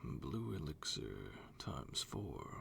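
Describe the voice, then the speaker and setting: Soft-spoken delivery plays over music in the background. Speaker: voiceover practice reader. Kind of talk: ASMR wiki reading for sleep.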